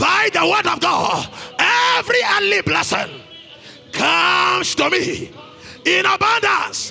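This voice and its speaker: Shouting at a fairly slow pace, with music in the background. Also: man. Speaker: pastor. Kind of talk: sermon and fervent charismatic prayer with tongues. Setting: church service with congregation. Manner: escalating declarations, loud and urgent, bursts of tongues.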